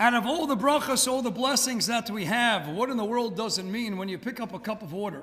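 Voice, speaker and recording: A man's extremely high-pitched voice, bright and sharp in tone, with audible room echo. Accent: American. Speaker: rabbi. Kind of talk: lecture. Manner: fast.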